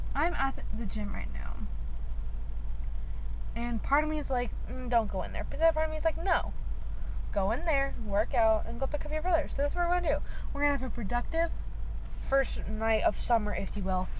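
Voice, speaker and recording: A woman speaks at a fairly quick pace, with long, frequent pauses. The sound is dry with no echo, over light background noise. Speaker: vlogger. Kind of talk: casual vlog talk to camera. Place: car. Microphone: phone near.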